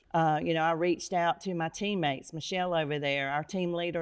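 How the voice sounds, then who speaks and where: A woman with an American accent and a plain, everyday voice, fairly low in pitch, fairly even in intonation, at a fairly quick pace. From North Carolina. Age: 60s. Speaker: real estate agent. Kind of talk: interview.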